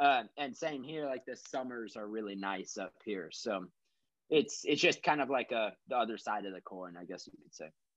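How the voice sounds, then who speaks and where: A man with an American accent has a plain, everyday voice at a medium pitch. He keeps a moderate pace, with lively intonation and big swings in loudness. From Texas. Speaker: musician. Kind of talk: casual chat. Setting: remote call with earbuds.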